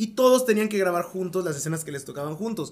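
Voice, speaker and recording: A man's high-pitched voice with lively intonation. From Mexico. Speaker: podcast host and voice actor. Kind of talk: casual chat.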